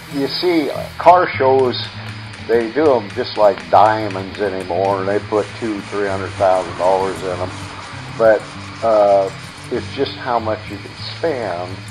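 With clear music in the background, a man speaks in an American accent at a fairly slow pace, leaving long, frequent pauses. His voice is fairly low, with ordinary pitch variation. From Grand Island, Nebraska. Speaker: auto body worker and novelty car builder. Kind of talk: casual interview answer. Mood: cheerful, proud. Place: workshop.

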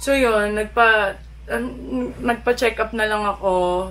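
A woman speaks over light background noise. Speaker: vlogger. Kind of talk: casual vlog chat. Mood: playful, animated. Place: home room.

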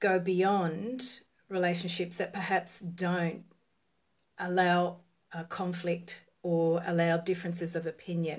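A woman speaks at a fairly low pitch and a fairly slow pace. The background is quiet. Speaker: relationship coach. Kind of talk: casual live-stream talk. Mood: calm, reflective. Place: home room. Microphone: phone near.

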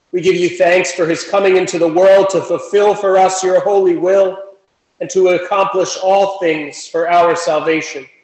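At a moderate pace, a man talks in a high voice with monotone, flat intonation, audible room echo, and a quiet background. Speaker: worship leader; presiding minister. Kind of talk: liturgy. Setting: church. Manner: formal. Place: church. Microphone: camera far.

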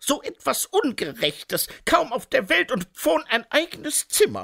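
Someone speaks at a fairly slow pace. The recording is very clean and dry, close with no echo, over a silent background. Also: man. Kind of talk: audiobook narration of a children's fantasy story. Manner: gentle storyteller's cadence, slow and soothing, with playful character voices.

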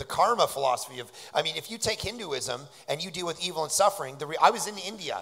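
A man with a Canadian accent speaks in a bright, sharp tone with vocal fry. The background is quiet. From Canada, Toronto. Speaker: pastor and author; pastor. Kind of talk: interview on stage at a conference. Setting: stage with audience. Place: stage. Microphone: handheld.

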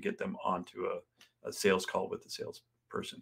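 At a moderate pace, a man talks over a quiet background. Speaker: sales coach guest. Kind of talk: interview answer. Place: home room.

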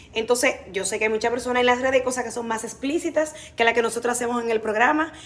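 A woman is speaking here. Her pitch is high. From Dominican Republic. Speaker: TV comedy actress and presenter; TV comedy actress, presenter. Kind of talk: interview. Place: studio. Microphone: phone near.

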